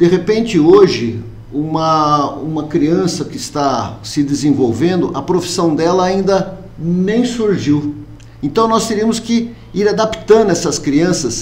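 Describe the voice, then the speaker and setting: Over audible room echo, a man with a high pitch talks at a very slow pace with lively intonation. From Brazil, Americana (São Paulo state). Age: 60s. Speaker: mayoral candidate. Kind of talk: interview.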